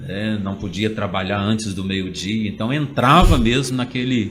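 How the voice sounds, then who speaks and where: With noticeable background noise and audible room echo, a man speaks at a moderate pace and a medium pitch. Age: 40s. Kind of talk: interview. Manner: hesitant, many fillers.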